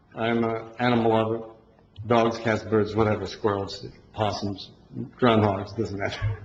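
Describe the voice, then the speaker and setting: Amid noticeable background noise and audible room echo, a man with a fairly low pitch speaks at a moderate pace in a monotone, flat intonation, leaving long, frequent pauses. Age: 60s. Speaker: resident speaking at public comment. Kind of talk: public comment at town hall. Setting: town hall meeting.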